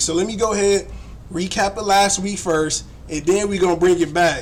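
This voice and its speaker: A man with an American accent speaks loudly in a high voice at a fairly quick pace. Noticeable background noise runs underneath. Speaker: sports live streamer. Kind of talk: casual live stream chat. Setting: live stream from home computer. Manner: animated.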